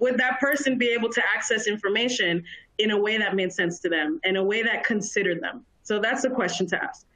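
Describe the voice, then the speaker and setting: Speaking in an American accent, a woman with fairly high pitch and ordinary pitch variation sounds animated, keeping a fairly quick pace and very even loudness. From US, Dominican heritage. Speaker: workplace diversity specialist. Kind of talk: webinar presentation. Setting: live webinar stream. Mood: earnest, engaging. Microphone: video call.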